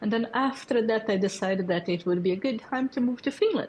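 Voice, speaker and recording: A woman speaks at a moderate pace, her voice somewhat breathy. Her intonation is lively. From Brazil. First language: Portuguese. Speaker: developer community lead. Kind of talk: tech presentation. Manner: hesitant with fillers.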